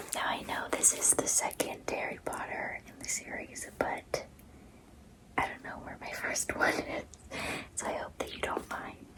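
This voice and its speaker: Whispering at a fairly slow pace, a woman is heard. Background noise is noticeable throughout. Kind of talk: bedtime story reading. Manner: soft, gentle.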